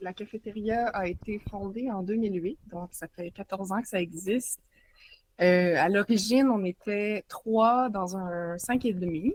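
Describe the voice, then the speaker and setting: This voice has a Quebec accent and moves at a fairly slow pace. Its pitch variation is ordinary. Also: woman, medium pitch for a woman. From Quebec, Montreal. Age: 30s. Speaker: journalist and author. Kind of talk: casual interview. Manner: hesitant, many fillers.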